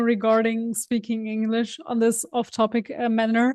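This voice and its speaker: With a German accent, a woman speaks at a moderate pace in a fairly high pitch. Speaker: podcast co-host. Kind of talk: casual chat.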